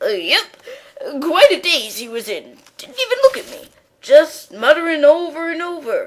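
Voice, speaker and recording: Putting on a character voice, a woman speaks at an extremely high pitch with very wide pitch swings, keeping a moderate pace. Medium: stage play. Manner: hesitant, rambling, says "uh, yep".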